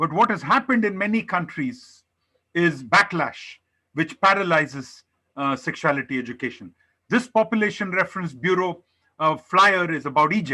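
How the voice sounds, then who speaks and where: A man with a high pitch, bright, sharp tone and lively intonation, on a very clean recording with a silent background. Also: moderate pace. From India. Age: 60s. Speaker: public health researcher. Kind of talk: conference presentation. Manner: halting, many fillers.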